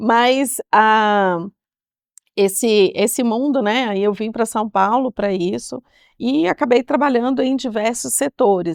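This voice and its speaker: In a mineiro accent, a woman speaks very slowly at a fairly high pitch with ordinary pitch variation, the sound dry and close with no echo over a quiet background. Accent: mineiro Brazilian Portuguese, kept. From Brazil, Minas Gerais. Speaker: technology executive. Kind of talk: podcast interview. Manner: hesitant, many fillers.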